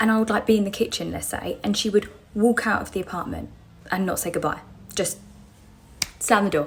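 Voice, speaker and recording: Over music in the background, a woman with a British accent talks at a fairly quick pace and medium pitch, her intonation fairly even and broken by long, frequent pauses. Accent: British, described as common. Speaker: storyteller on social media. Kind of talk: casual storytelling. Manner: fast.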